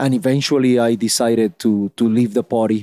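With a Spanish accent, a man talks at a moderate pace and medium pitch, his tone dark and mellow, his intonation fairly even, in a dry, close sound with no echo. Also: very clean recording, silent background. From Puerto Rico. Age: 30s. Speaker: politician. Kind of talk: interview. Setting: in person in San Juan.

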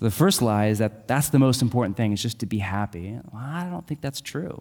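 Delivered in a plain, everyday voice, the speech moves at a fairly quick pace with lively intonation. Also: man. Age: 30s. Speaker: pastor. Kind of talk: sermon. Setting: church.

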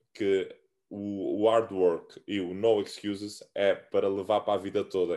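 Against a quiet background, a man with a dark, mellow tone speaks very slowly at a fairly low pitch. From Cape Verde, Santiago island. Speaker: American football player. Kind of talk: casual interview. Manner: halting.

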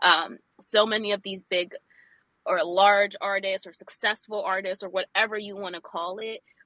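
The speaker uses ordinary pitch variation. The pace is fairly slow. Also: woman. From New York City, Brooklyn. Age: 20s. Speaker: graphic designer and illustrator. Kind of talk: interview, casual chat.

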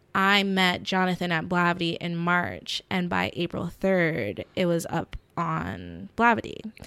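With an American accent, a plain, everyday voice shows ordinary pitch variation on a very clean recording with a silent background. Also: woman, fairly low pitch for a woman. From US South, middle Georgia (Warner Robins). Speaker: actress and TV show creator. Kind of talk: casual interview chat.

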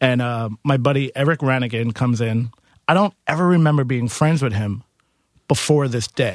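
Using a New York accent, a man speaks at a medium pitch with ordinary pitch variation. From Queens, New York. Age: 30s. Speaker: musician and bar owner. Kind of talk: casual interview.

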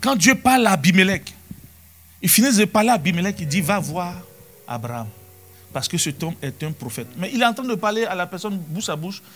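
A man's high, animated voice with very wide pitch swings, at a fairly quick pace with long, frequent pauses, over music in the background. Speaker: pastor. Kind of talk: sermon. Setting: church. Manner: animated, preacherly, with rhetorical questions and repeated Alléluia/Amen; conversational, quoting scripture and addressing the congregation.

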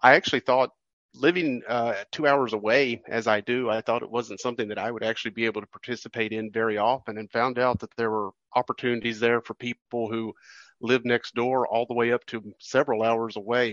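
This man has an unremarkable speaking voice at medium pitch, talking at a fairly quick pace with fairly even intonation. The sound is dry and close with no echo, and the background is quiet. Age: 50s. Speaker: railroad museum publicity director. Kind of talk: interview.

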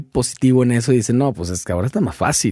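A man at a very fast pace, lively in intonation, dark and mellow in tone. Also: very clean recording, silent background. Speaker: podcast host. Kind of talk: casual interview chat.

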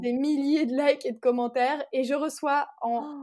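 In a very clean recording with a silent background, a woman speaks fairly slowly in a high voice with ordinary pitch variation. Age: 20s. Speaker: entrepreneur, brand founder. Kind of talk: interview.

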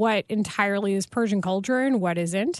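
A plain, everyday voice from a woman in an American accent, lively in intonation at a moderate pace, over a quiet background. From Texas. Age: 30s. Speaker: sportscaster. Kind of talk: casual interview.

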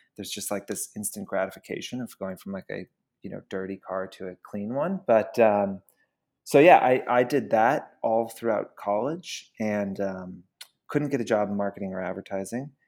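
It is a plain, everyday voice at a moderate pace. Pitch variation is ordinary, while loudness swings a lot. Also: man, fairly low pitch for a man. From US South (Georgia). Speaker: company founder and CEO. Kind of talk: interview.

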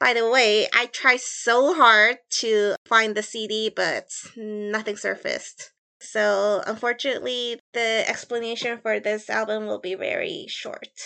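Against a quiet background, a woman with an American accent speaks fairly slowly at a fairly high pitch. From US Midwest (Chicago). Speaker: guest co-host and researcher. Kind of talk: scripted podcast narration; casual chat.

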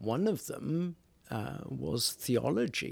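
A man speaks at a very slow pace with very wide pitch swings. The recording is very clean, with a silent background. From Wales. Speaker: priest. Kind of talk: casual chat. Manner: humorous, jokey.

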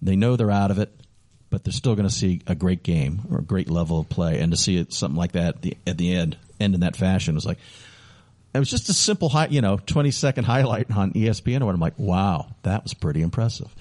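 In a plain, everyday voice, a man with an American accent speaks at a fairly quick pace with lively intonation and a fairly low pitch, the sound dry and close with no echo. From Chicago, US Midwest. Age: 50s. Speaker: radio host and hockey PA announcer. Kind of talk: casual interview. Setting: radio studio.

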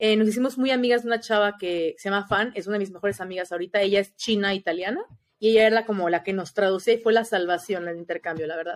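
With a Mexican accent, a woman talks at a very fast pace with hardly any pauses, her medium pitch showing ordinary variation. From Mexico. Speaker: former exchange student. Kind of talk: casual chat.

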